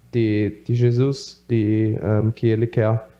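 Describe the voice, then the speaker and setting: With a German accent, a man speaks at a very slow pace. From Brazil (Rondônia) and Germany. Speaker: missionary. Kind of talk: testimony. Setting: church. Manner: halting, many fillers.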